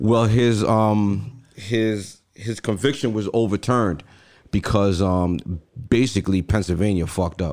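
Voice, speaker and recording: A man with an unremarkable speaking voice talks at a fairly slow pace in a fairly low pitch, his intonation fairly even. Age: 40s. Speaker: podcast co-host. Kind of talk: casual chat.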